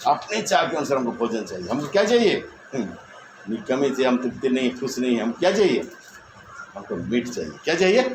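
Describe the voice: A man talks at a fairly quick pace with a medium pitch and big pitch swings. Room echo can be heard.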